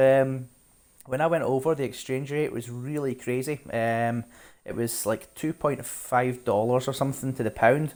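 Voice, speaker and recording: A man in a Scottish accent, with medium pitch and fairly even intonation, on a very clean recording with a silent background. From Scotland, Glasgow. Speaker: game streamer. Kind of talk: casual live-stream chat. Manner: fast.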